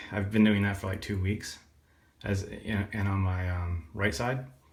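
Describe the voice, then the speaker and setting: Somewhat breathy, this man's voice sits at a very deep, low pitch. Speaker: vlogger, surgery patient. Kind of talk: personal vlog, recovery story. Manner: rambling, halting with fillers.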